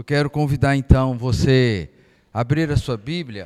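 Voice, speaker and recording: This man speaks at a medium pitch. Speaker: pastor. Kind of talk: Bible study lesson. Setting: church.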